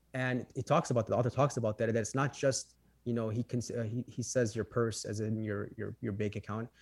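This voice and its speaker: A man with a Chicago accent talks at a very fast pace and medium pitch, somewhat breathy and monotone with flat intonation. The recording is very clean, with a silent background and a dry, close sound with no echo. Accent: Chicago American English. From Chicago, Illinois. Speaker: financial professional. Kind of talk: interview conversation.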